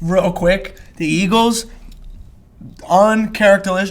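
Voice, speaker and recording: Noticeable background noise sits behind a man speaking with a Philadelphia accent. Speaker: podcast host. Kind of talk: casual chat. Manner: animated.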